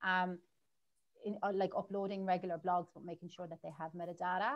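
Speaking with an Irish accent, a woman uses a fairly low pitch and monotone, flat intonation. Her pace is fairly quick against a quiet background. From Ireland. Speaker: marketing agency owner; guest. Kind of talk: interview. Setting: livestream. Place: home room. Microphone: video call.

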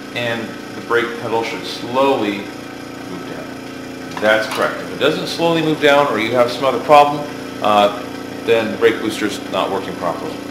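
Over noticeable background noise, a man speaks at a moderate pace with big swings in loudness and ordinary pitch variation. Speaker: shop teacher. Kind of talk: tutorial. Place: workshop. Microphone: camera far.

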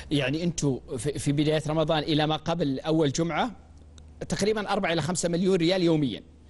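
Speaking at a moderate pace with a normal speaking voice, a man has a fairly high pitch, ordinary pitch variation and very even loudness. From Saudi Arabia. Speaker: TV talk show host. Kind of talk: TV news magazine interview. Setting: studio. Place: studio. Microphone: lapel.

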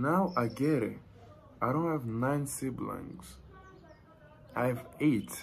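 Over light background noise, a somewhat breathy man speaks at a very slow pace with long, frequent pauses. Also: ordinary pitch variation. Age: 20s. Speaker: YouTuber. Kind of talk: casual chat. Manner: animated. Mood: relaxed, playful. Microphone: phone near.

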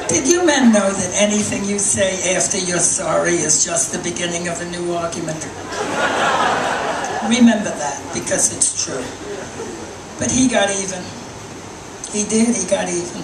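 A woman at a moderate pace with ordinary pitch variation and long, frequent pauses, over noticeable background noise. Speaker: stand-up comedian. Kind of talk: stand-up comedy set.

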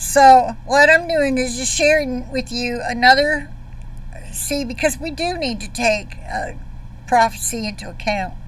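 Over light background noise, a high-pitched woman speaks with big swings in loudness in a dry sound with no echo. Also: ordinary pitch variation, fairly slow pace. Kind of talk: casual video commentary. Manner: informal, hesitant with fillers. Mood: earnest, concerned. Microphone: webcam.

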